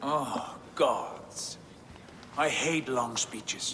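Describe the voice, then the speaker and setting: Someone does a put-on character voice against clear background noise. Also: man, fairly high pitch for a man. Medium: video game.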